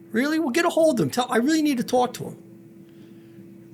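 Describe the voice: A man puts on a squeaky character voice at an extremely high pitch, with very wide pitch swings. He keeps a moderate pace over clear background noise.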